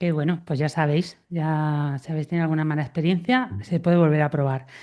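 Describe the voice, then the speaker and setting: Her voice is very deep and low for a woman, with a dark, mellow tone and ordinary pitch variation. She speaks at a moderate pace over a quiet background. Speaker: podcast host. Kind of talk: interviewer questions.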